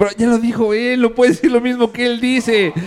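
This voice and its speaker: At a moderate pace, a man talks in an animated tone at an extremely high pitch. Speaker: podcast host. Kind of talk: casual chat. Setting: outdoors.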